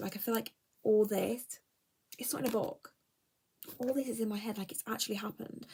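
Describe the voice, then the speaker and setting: Here a woman speaks with an English accent. Her pace is fairly quick. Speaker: book vlogger. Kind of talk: casual chat. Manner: animated.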